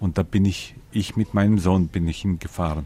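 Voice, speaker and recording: With a Ukrainian accent, a man talks at a fairly slow pace in a very deep, low pitch, his tone dark and mellow and his pitch variation ordinary. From Ukraine. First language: Ukrainian (speaking German). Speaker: interviewee, Ukrainian living abroad. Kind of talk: interview.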